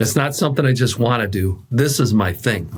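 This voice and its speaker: The speaker is a man of medium pitch. His voice is somewhat breathy. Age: 60s. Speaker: executive coach. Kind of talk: interview.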